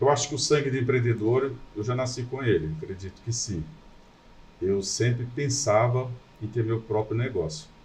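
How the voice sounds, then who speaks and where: A man talks in a medium pitch, keeping a moderate pace. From Brazil, Goiás (rural). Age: 60s. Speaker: businessman. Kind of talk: podcast interview.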